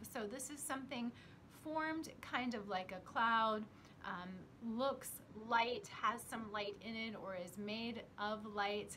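A woman talks very slowly, her pitch varying in an ordinary way, with light noise in the background. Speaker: psychic teacher. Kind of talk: casual vlog chat. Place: home room. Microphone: phone near.

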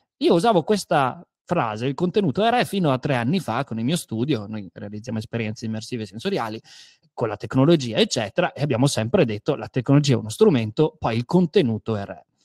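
Very wide pitch swings mark a man's very fast speech. The background is quiet and the sound dry, with no echo. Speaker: storyteller and creative studio director; guest. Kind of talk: online talk on storytelling; interview answer. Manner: animated, restless. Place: home room. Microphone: studio mic.

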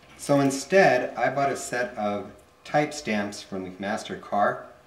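Fairly slow speech from a man, with room echo audible. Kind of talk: tutorial. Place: workshop.

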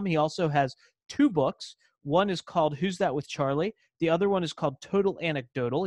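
A man with a fairly high pitch talks at a fairly quick pace with ordinary pitch variation, the sound dry with no echo against a quiet background. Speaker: podcast host. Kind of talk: podcast interview questions. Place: home room. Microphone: studio mic.

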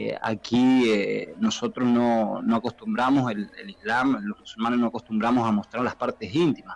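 A man with a plain, everyday voice speaks at a moderate pace, with a medium pitch and ordinary pitch variation. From Argentina. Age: 30s. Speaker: professional footballer; interview guest. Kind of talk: interview. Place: studio. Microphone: studio mic.

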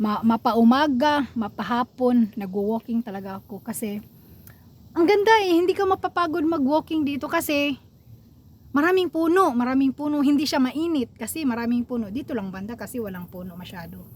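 A woman's high voice at a fairly quick pace, with very wide pitch swings and big swings in loudness. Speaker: vlogger. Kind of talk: casual vlog monologue. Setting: outdoors by a lake.

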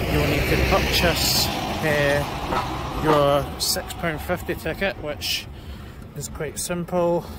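A man's voice comes through dry with no echo, against loud background noise. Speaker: travel vlogger. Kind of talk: casual tutorial vlog chat. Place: street. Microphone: phone near.

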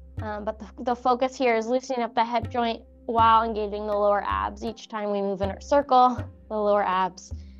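Faint music plays in the background as a woman talks at a moderate pace. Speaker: fitness instructor. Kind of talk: exercise class instruction. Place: empty room.

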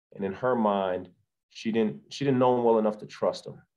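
A man speaks at a fairly low pitch in a dark, mellow tone. His intonation is fairly even, and the background is quiet. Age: 40s. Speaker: author; podcast guest. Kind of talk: casual chat. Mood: warm, reflective. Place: home room. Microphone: video call.

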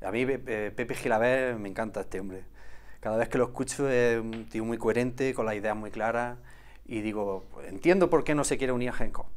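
A man talks at a fairly quick pace, his pitch medium and his pitch variation ordinary. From Andalusia, Villanueva del Arzobispo area, Jaén; Andalusia, Spain. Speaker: olive farmer and former local politician; former local politician, interview guest. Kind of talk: casual interview. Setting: TV studio. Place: studio. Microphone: lapel.

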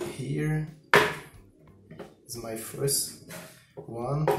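A man over noticeable background noise. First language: not English. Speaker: combat robot builder. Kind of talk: casual talk to camera. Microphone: camera far.

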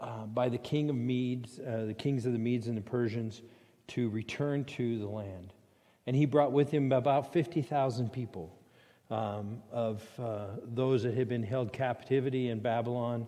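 A man's speech moves at a moderate pace, its intonation fairly even, with a quiet background behind it. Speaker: pastor. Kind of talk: prayer then sermon. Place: church.

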